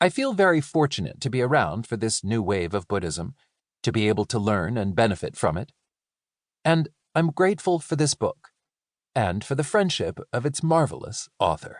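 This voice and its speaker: In a dry, close recording with no echo, a man's voice shows vocal fry and very wide swings in pitch. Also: medium pitch for a man, moderate pace. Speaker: audiobook narrator. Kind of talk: audiobook reading of nonfiction.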